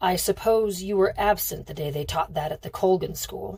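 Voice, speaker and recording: A woman performs a put-on character voice, gruff and raspy. Her loudness swings widely. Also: medium pitch for a woman, moderate pace. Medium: read story. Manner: gruff and impatient.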